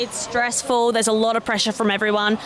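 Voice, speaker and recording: A woman talks with an Australian accent. Noticeable background noise sits behind her voice. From South Australia (Adelaide). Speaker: secondary school cover teacher. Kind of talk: street interview.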